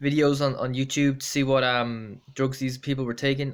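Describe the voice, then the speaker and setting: On a very clean recording with a silent background, a man with an Irish accent speaks at a medium pitch and a moderate pace. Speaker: amateur runner vlogger. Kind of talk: casual vlog monologue. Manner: halting, many fillers.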